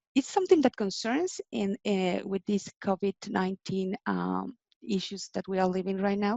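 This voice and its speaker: A woman with a Spanish accent speaks at a fairly slow pace, in a medium pitch with ordinary pitch variation. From Mexico. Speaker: in-house legal and compliance manager. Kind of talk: interview. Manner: halting.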